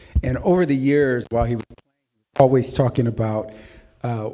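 A man with a plain, everyday voice and medium pitch talks at a fairly quick pace with ordinary pitch variation. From Waterloo, Iowa. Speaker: development company president, former attorney. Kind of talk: panel discussion. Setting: live event with audience.

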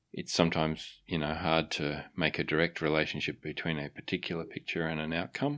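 A man's very deep, low voice with an Australian accent, monotone and flat, at a fairly quick pace with hardly any pauses, in a very clean recording with a silent background. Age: 50s. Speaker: wildlife photographer. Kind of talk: casual interview. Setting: studio. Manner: halting, many fillers.

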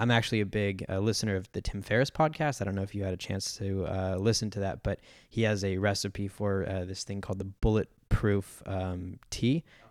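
A man with a Californian accent speaks at a fairly quick pace with hardly any pauses, his fairly low pitch held to a fairly even intonation on a very clean recording with a silent background. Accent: Californian American. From San Diego, US. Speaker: podcast host. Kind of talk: interview.

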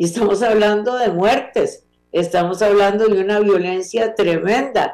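A woman speaks in an ordinary speaking voice at a medium pitch. Her loudness stays very even. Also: fairly even intonation, fairly slow pace. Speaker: legislator and criminal lawyer. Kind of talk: interview. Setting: video call.

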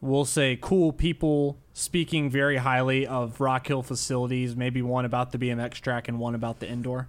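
A man's plain, everyday voice at a moderate pace, on a very clean recording with a silent background. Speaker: podcast co-host.

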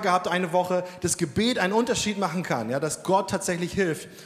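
Noticeable background noise sits behind a man with a high voice. He talks at a fairly quick pace with ordinary pitch variation. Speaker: Sunday school worker. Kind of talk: testimony. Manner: casual.

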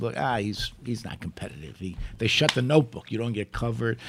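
A man speaks with a New York accent. His intonation is lively. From Italy, raised in Brooklyn. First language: Italian. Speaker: former politician, attorney. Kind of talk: casual chat. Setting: studio.

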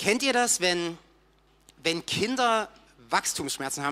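Over a silent background in a very clean recording, a man talks at a moderate pace with very wide pitch swings. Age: 30s. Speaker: church volunteer and teacher. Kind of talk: sermon.

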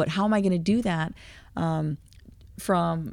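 The recording is very clean, with a silent background. It carries a plain, everyday voice with fairly even intonation. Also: woman. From Quebec, Canada. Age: 50s. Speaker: heavy equipment operator and motivational speaker. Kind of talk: interview, personal testimony.

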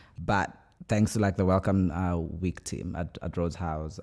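A man's very deep, low voice, dark and mellow in tone, at a fairly quick pace with fairly even intonation, on a very clean recording with a silent background. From Kenya. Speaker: podcast host and doctoral student. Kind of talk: casual chat.

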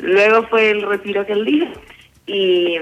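A woman speaks over noticeable background noise. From Colombia, Medellín. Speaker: university student. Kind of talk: casual chat.

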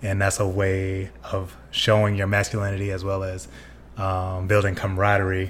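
A man with a very deep, low pitch speaks at a moderate pace. His voice is somewhat breathy, with fairly even intonation. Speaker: podcast co-host. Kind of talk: casual chat. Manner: soft-spoken.

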